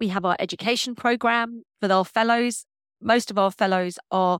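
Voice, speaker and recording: Fairly quick speech in a London accent, fairly even in intonation, with a dry, close sound with no echo and a very clean recording, silent background. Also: woman. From North London, England. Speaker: paediatric consultant. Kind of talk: interview.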